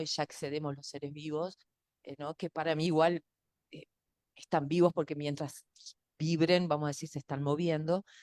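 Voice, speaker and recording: A woman's very deep, low voice at a moderate pace, with fairly even intonation and a dry, close sound with no echo. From Uruguay. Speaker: sound researcher / speaker. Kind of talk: talk answering questions. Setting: video call.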